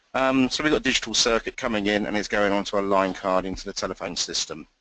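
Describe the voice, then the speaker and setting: Pitched fairly low, a man speaks with a bright, sharp tone and ordinary pitch variation. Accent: English. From England. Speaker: technical trainer. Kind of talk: training session. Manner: hesitant, many fillers.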